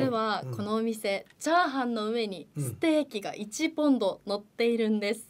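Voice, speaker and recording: At a moderate pace with hardly any pauses, the voice makes very wide pitch swings. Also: woman, fairly high pitch for a woman. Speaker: student announcer. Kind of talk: presentation on radio variety show. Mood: cheerful, lively. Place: studio. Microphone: studio mic.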